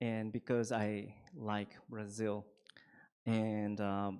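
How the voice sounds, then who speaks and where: In a Japanese accent, a man speaks at a fairly low pitch. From Japan, Shizuoka. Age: 40s. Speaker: Buddhist priest. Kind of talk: dharma talk. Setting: temple hall with audience.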